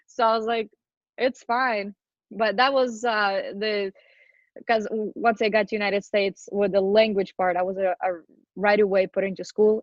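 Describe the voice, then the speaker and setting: Here a woman talks at a moderate pace. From Ukraine. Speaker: interview guest sharing life story. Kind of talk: podcast interview, personal testimony.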